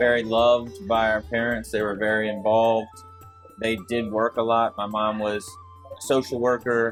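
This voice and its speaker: A man speaks at a medium pitch and a moderate pace with monotone, flat intonation. Music plays in the background. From Mobile, Alabama. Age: 40s. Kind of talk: interview answer. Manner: warm, relaxed, humorous.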